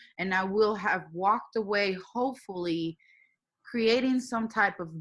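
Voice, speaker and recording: Speaking fairly slowly with a Spanish accent, a woman has a bright, sharp tone. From Puerto Rico. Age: young. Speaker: engineering manager. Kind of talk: interview.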